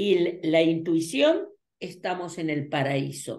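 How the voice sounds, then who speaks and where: Against a quiet background with audible room echo, a woman speaks at a very slow pace. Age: 80s+. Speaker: numerologist and teacher; teacher. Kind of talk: interview. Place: home room. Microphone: webcam.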